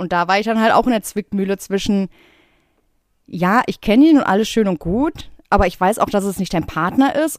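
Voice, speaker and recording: At a medium pitch and fairly quick pace, a woman with a normal speaking voice is heard in a dry, close sound with no echo, on a very clean recording with a silent background. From Ruhr area, Germany (Bottrop). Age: 30s. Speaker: podcast co-host, tattoo artist. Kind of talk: casual chat.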